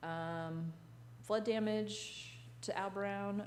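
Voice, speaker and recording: A woman is speaking. There is audible echo from the room. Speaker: parks and recreation director. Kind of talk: board meeting report. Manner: loud.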